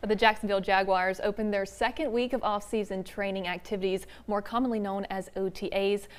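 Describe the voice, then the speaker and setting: At a fairly quick pace, a woman talks in a plain, everyday voice at medium pitch with fairly even intonation. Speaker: TV news reporter and anchor. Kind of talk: TV news anchor read.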